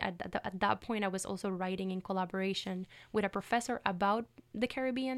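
Here a woman speaks in a Puerto Rican accent at a medium pitch, with lively intonation. Her fairly quick delivery comes through in a very clean recording with a silent background. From Puerto Rico. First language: Spanish. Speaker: PhD student. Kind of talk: academic interview. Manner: hesitant, many fillers.

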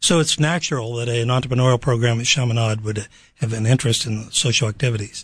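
A somewhat breathy man at medium pitch with an American accent, very fast pace and fairly even intonation. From Pittsburgh, Pennsylvania. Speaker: university program director. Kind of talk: radio interview. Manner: halting.

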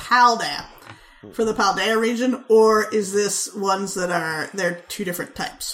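A woman's medium-pitched voice at a fairly slow pace, with ordinary pitch variation, amid noticeable background noise. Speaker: podcast host. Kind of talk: casual banter, comedic chat.

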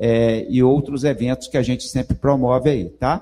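Somewhat breathy, a man speaks. His pace is moderate. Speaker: university professor, event moderator. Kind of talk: event introduction. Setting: stage with audience. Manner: halting.

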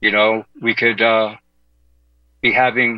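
Speaking very slowly with an American accent, a man has a medium pitch and a bright, sharp tone, and the sound is dry and close with no echo. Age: 60s. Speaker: fill-in radio host. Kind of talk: talk radio monologue. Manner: halting.

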